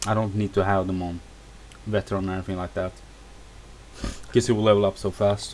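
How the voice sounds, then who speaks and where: A man speaks at a very fast pace with fairly even intonation. Long pauses break up his speech often. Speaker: video game reviewer. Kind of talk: gameplay tutorial. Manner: casual, halting.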